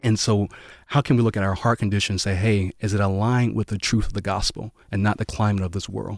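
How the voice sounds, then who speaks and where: A man speaks very fast in a fairly low pitch with monotone, flat intonation. The recording is very clean, with a silent background and a dry, close sound with no echo. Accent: American. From US South, Waycross, Georgia. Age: 20s. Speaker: pastor. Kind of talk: casual chat.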